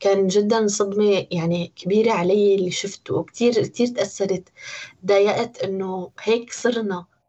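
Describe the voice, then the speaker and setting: With a Syrian accent, a woman speaks at a fairly slow pace with a medium pitch and fairly even intonation. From Syria, Homs. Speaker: interviewee. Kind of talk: personal testimony.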